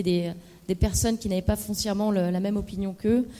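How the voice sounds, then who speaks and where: The speech goes at a very fast pace. The intonation is monotone and flat. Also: woman. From Lorraine, France (Meurthe-et-Moselle, Moselle). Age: 30s. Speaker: political candidate. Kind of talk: debate presentation. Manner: hesitant, many fillers.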